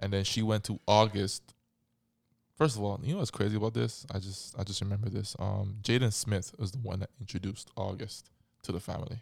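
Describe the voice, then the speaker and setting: On a very clean recording with a silent background, a man speaks at a fairly quick pace, his fairly low voice somewhat breathy and his intonation fairly even. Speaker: podcast host. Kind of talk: casual chat.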